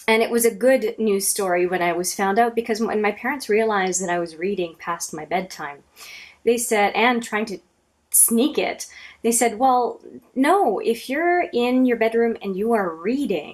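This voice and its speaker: A woman's fairly high voice with a French accent and lively intonation. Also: moderate pace. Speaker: book reviewer and video blogger. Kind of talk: casual talk to camera.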